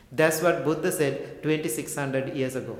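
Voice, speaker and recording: With audible room echo and noticeable background noise, a man speaks in a fairly high pitch with fairly even intonation. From Sri Lanka. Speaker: Buddhist monk and meditation teacher. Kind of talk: talk to an audience.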